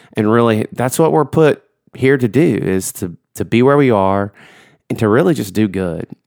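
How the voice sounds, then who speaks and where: Speaking in a Southern US accent at a medium pitch, a man keeps a moderate pace and lively intonation, the sound dry and close with no echo. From Georgia. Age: 30s. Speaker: church youth minister and podcast host. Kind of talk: solo podcast intro; casual chat.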